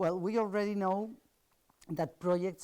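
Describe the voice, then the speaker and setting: A woman speaks in a Spanish accent with a dark, mellow tone. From Spain. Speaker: architect and professor. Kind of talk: lecture. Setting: seminar panel. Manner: halting.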